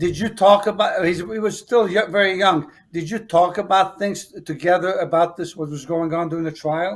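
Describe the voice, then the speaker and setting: With an American accent, a man speaks at a high pitch and moderate pace, barely pausing, his pitch varying in an ordinary way. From US Northeast (Brooklyn, New York). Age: 70s. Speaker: talk show host. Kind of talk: interview.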